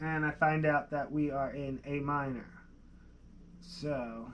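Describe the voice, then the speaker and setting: A man with a Philadelphia accent speaks at a very slow pace in a monotone, flat way, with long, frequent pauses and light background noise. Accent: Delaware County, Pennsylvania. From Pennsylvania. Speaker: music producer. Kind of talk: live-stream tutorial. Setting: live stream. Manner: casual, thinking aloud. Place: studio.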